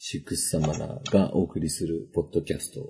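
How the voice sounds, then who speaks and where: The tone is dark and mellow. Vocal fry runs through the voice. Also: man. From northern Kanto, Japan. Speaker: podcast host. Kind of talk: casual chat.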